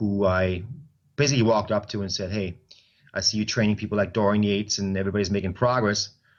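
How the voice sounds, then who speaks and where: A man's fairly low-pitched voice, monotone and flat, with a German accent. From Germany, Stuttgart. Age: 40s. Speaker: personal trainer and bodybuilder. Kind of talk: interview.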